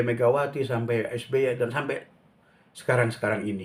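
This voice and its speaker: With a somewhat breathy quality, a man keeps to a medium pitch, a moderate tempo and a fairly even intonation. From Jakarta (Betawi), Indonesia. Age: 60s. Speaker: painter and vlogger. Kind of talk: casual vlog monologue. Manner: halting, with many fillers.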